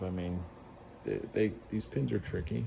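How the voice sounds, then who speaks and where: Speaking at a moderate pace, a man uses a very deep, low pitch with a dark, mellow tone and vocal fry. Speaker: lock picking hobbyist. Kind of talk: tutorial. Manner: hesitant, many fillers.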